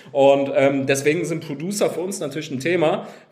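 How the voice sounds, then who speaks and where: Over noticeable background noise and an audible room echo, the speaker talks at a moderate pace with lively intonation. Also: man. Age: 30s. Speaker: game company founder. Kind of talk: interview.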